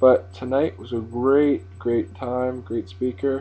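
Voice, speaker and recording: Music plays in the background. A man talks at a moderate pace and medium pitch. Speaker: vlogger, autograph collector. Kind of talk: casual video blog. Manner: soft-spoken.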